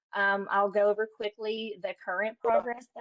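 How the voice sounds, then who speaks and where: A woman talks at a medium pitch, and the sound is dry and close with no echo. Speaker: school instructional technology specialist. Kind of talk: staff training presentation. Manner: fast.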